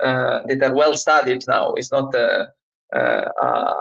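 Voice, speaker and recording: A man speaks very slowly with an Italian accent. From Italy. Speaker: trainer. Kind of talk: casual chat. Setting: live stream. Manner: halting.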